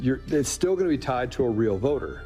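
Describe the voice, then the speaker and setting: A man talks very fast while music plays in the background. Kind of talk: explanatory talk about election systems.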